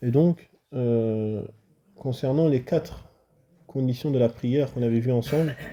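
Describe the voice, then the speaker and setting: A man with a dark, mellow tone and medium pitch speaks at a fairly slow pace, with fairly even intonation, very even loudness and long, frequent pauses. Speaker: Islamic religious teacher. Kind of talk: religious lesson.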